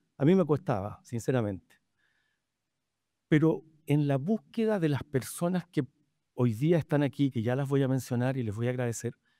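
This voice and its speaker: A man with a medium pitch and a dark, mellow tone speaks at a moderate pace with long, frequent pauses. His intonation is lively, and the sound is dry and close with no echo. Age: 70s. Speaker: physician moderating a panel discussion. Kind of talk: panel discussion introduction. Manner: halting, many fillers.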